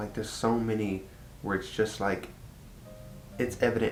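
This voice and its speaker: A man talks at a fairly quick pace with a fairly low pitch. Room echo is audible. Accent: Texan. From Texas. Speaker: vlogger. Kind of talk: casual chat. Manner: casual, lots of fillers.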